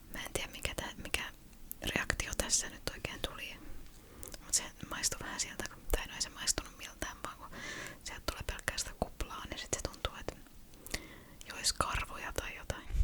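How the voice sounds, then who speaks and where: Whispering at a moderate pace, with big swings in loudness, long frequent pauses and noticeable background noise. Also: woman. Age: 30s. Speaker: ASMR creator. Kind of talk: casual ASMR chat to camera. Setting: studio, close microphone. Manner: whispered, close-mic.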